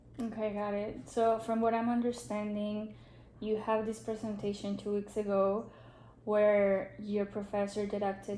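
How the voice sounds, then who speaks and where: A woman with a Spanish accent speaks at a medium pitch in a dark, mellow tone, with a flat, monotone delivery. Her fairly slow speech carries audible room echo. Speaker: social work student. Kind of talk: role-play counseling session.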